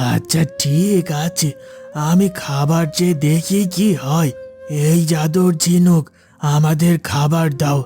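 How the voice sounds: A cartoonish character voice moves at a very slow pace with fairly even intonation over faint music in the background. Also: man, high pitch for a man.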